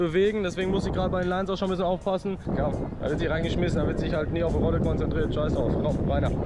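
Over loud background noise, a man rattles along at a very fast pace. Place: open country. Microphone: phone near.

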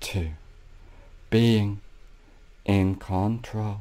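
Very slowly and with fairly even intonation, a man speaks in a soothing tone that is dark and mellow. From Australia. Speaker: hypnotherapist. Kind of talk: guided hypnosis meditation. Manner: slow, soothing, repetitive.

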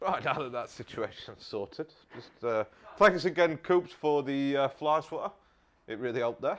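Using lively intonation, a man with medium pitch and a fairly bright tone speaks at a moderate pace.

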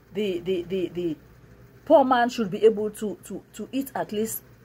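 A somewhat breathy woman's voice with lively intonation at a moderate pace. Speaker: preacher. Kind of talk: sermon. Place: home room. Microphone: phone near.

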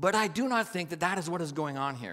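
The background stays quiet. The voice belongs to a man. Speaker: preacher. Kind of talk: sermon. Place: stage. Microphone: headset.

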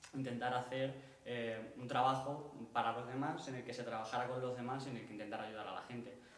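Audible room echo surrounds a man's voice. He speaks fairly quickly in a flat monotone. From Spain. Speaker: workshop participant. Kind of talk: personal testimony. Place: stage. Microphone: camera far.

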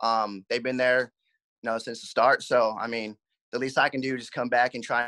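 In an American accent, the speaker talks at a fairly quick pace with a bright, sharp tone over a quiet background. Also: man. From Southern California, Covina area; California. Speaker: minor league baseball player. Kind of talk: interview; interview answer. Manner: halting. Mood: relaxed, grateful. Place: home room. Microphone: video call.

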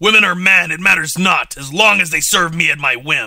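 Loud and fairly quick, a man performs a put-on character voice at a high pitch. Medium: audio drama. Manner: grandiose, theatrical.

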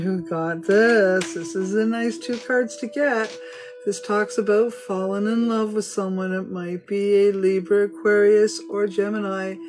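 A woman talks at a fairly slow pace with ordinary pitch variation. Clear music sounds in the background. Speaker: tarot reader. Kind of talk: casual reading to viewers. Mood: warm, upbeat. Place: home room. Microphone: phone near.

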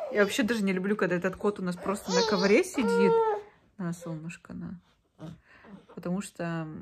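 With noticeable background noise, a woman speaks at a moderate pace and fairly even intonation, leaving long, frequent pauses amid big swings in loudness. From Yakutsk, Russia; Russia. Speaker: vlogger and mother; vlogger. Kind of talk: casual vlog talk to camera. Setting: at home, bathroom. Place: home room. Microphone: phone near.

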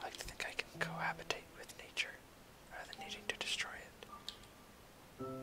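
Whispering at a very fast pace, broken by long, frequent pauses, over clear music in the background. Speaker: gameplay narrator. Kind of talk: casual gameplay commentary, soft-spoken ASMR. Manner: soft-spoken. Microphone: studio mic.

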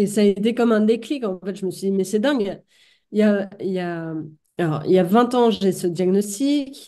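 Against a quiet background, the speaker has a dark, mellow tone, ordinary pitch variation and a moderate pace. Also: woman, medium pitch for a woman. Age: 40s. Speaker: author and multiple sclerosis patient; podcast guest. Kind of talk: testimony. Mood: calm, reflective. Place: home room. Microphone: webcam.

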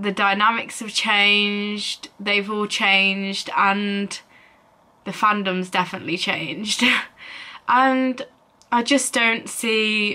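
A woman speaks at a very slow pace in a bright, sharp tone. Her intonation stays fairly even. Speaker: vlogger. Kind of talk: casual vlog chat. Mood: reflective, slightly wistful. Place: home room. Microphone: phone near.

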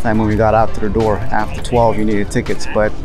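A man's flat, monotone intonation in a dry, echo-free sound, with clear music in the background. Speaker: travel vlogger. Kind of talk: casual vlog chat. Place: waterside. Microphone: phone near.

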